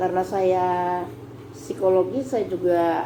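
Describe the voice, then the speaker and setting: Audible room echo surrounds a woman speaking at a very slow pace. Noticeable background noise is present too. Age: 60s. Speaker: speech therapist. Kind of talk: tutorial.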